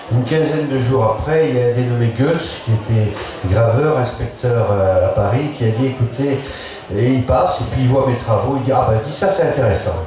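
A man's voice carries strong room echo amid noticeable background noise. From Bourbonnais, central France. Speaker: painter. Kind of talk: panel discussion. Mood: relaxed storytelling. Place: tent.

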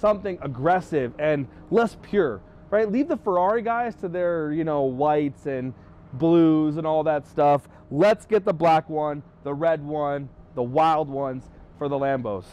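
At a fairly slow pace, a man talks in a dry recording with no echo. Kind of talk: casual vlog walkthrough. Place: street. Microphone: lapel.

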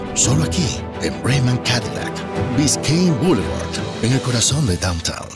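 Loud music plays in the background as a man talks at a fairly slow pace. The sound is dry with no echo. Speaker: voice actor. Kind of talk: TV commercial read. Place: studio. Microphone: studio mic.

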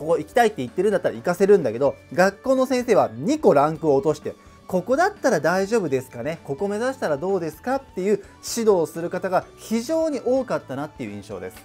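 A man speaks at a very fast pace and a high pitch, with very wide pitch swings and big swings in loudness. Faint music plays in the background. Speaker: online tutor / educational YouTuber. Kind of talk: educational lecture to camera. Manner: conversational, explanatory. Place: home room.

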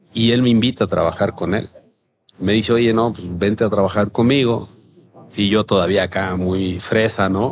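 Through noticeable background noise, a man with a fairly low pitch talks at a moderate pace. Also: fairly even intonation. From Mexico, Guerrero coast. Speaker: chef and restaurant owner. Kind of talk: interview, casual chat. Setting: outdoor terrace. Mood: relaxed storytelling with quoted dialogue. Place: cafe. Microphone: studio mic.

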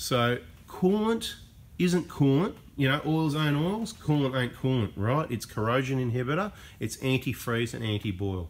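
A man talks with an Australian accent at a moderate pace. His pitch swings very widely. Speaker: diesel mechanic / car channel host. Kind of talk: unscripted tutorial. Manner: casual, off the cuff. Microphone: camera far.

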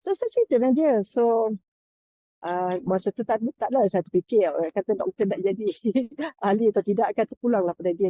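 Her fairly high voice carries lively intonation. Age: 60s. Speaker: health product seller. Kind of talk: testimony. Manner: halting.

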